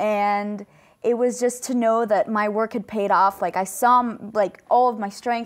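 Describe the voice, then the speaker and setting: A woman with a plain, everyday voice speaks at a fairly slow pace and fairly high pitch with ordinary pitch variation, in a very clean recording with a silent background. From Colombia, raised in US from age 3. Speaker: student athlete, wrestler. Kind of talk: interview.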